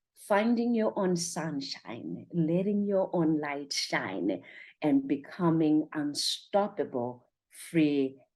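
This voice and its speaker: In a Zimbabwean accent, a woman speaks with a very deep, low pitch at a very slow pace. Her intonation is lively and the background is quiet. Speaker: motivational speaker and life coach. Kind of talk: motivational talk. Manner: energetic.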